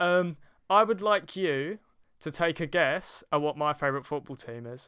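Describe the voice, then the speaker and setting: The man's tone is bright and sharp. He talks at a moderate pace with ordinary pitch variation. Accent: London. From East London. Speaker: podcast host. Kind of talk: interview. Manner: hesitant, many fillers.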